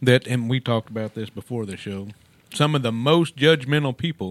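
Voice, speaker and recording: In a Texan accent, a man speaks at a moderate pace with ordinary pitch variation, the sound dry and close with no echo. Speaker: radio co-host. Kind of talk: casual radio chat.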